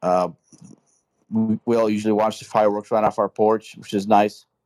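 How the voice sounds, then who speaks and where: At a moderate pace, a man speaks with a fairly low pitch and a dark, mellow tone in a dry, close sound with no echo. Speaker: caller, veteran. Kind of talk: live call-in discussion. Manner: halting, filler-heavy.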